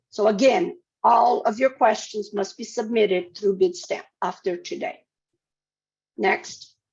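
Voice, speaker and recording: Pausing long and often, a woman speaks at a fairly slow pace in a fairly high, somewhat breathy voice whose pitch swings very widely. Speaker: state procurement officer. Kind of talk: webinar presentation. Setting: webinar.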